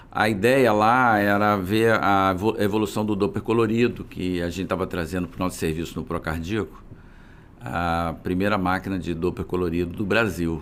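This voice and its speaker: This man's voice has a very deep, low pitch. He talks at a moderate pace with fairly even intonation. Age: 60s. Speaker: physician and business founder. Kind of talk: interview conversation.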